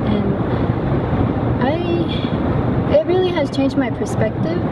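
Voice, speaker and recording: A woman's voice, dry with no echo, over loud background noise. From Gallup, New Mexico (Navajo). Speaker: university student. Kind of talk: interview testimony. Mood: calm, reflective. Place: street.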